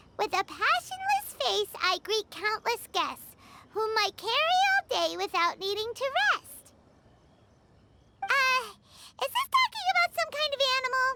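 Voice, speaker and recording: A squeaky, put-on character voice, female-sounding and extremely high-pitched, at a moderate pace with long, frequent pauses. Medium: video game. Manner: talks about herself in third person, excitable.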